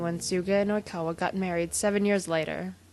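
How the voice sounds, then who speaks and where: Music plays in the background as a woman speaks. Her pitch is fairly low and her pace moderate. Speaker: podfic reader. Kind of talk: reading aloud.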